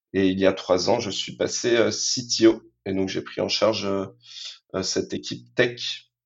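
At a very slow pace, a man speaks in a fairly low pitch with ordinary pitch variation. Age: 30s. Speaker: tech executive. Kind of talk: interview. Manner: halting, many fillers and repetitions.

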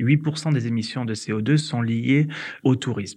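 Against a quiet background, a man speaks at a very slow pace with medium pitch and ordinary pitch variation. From southern France, Hérault valley (Occitanie). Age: 30s. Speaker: entrepreneur. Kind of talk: interview testimony. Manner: hesitant with fillers.

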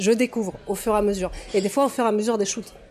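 Fairly high in pitch, a woman speaks with fairly even intonation in an ordinary speaking voice. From Russia. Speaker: toy photographer. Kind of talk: casual interview.

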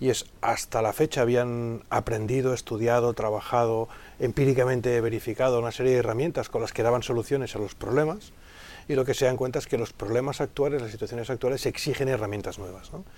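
Spoken at a fairly quick clip, the voice keeps a fairly even intonation. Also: man, medium pitch for a man. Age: 40s. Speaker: digital consultant and business school lecturer. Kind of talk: interview. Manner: hesitant, with many fillers and repetitions.

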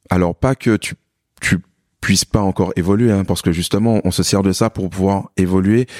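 A man with a normal speaking voice talks at a moderate pace, fairly low in pitch with fairly even intonation. The recording is very clean, with a silent background. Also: dry, close sound with no echo. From Martinique. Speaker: fitness coach. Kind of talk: casual chat.

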